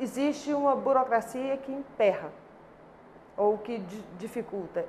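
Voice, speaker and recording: Here a woman speaks at a fairly slow pace. Her pitch varies in an ordinary way. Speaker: labour court judge. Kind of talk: interview answer.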